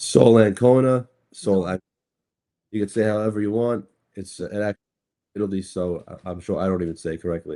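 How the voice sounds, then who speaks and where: In a New York accent, a man with a fairly low pitch talks at a fairly quick pace with fairly even intonation, broken by long, frequent pauses. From Brooklyn, New York. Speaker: cryptocurrency attorney. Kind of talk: podcast interview. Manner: halting, many fillers and repeats.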